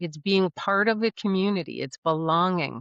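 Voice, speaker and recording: With an ordinary speaking voice, a woman talks at a medium pitch with ordinary pitch variation. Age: 60s. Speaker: aging planning educator and author. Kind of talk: interview.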